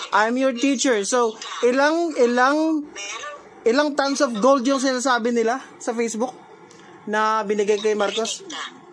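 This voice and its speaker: Over noticeable background noise and audible room echo, a woman speaks at a high pitch and fairly slow pace with ordinary pitch variation. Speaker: reaction video creator arguing with a friend. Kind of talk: heated argument on a call. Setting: messenger call. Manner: animated, frequent laughing.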